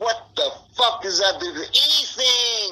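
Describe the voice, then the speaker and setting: Projecting his raised voice, a man hits extremely high pitch with very wide pitch swings amid noticeable background noise. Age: 60s. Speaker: interviewee in a missing-person case. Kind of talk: interview. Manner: animated.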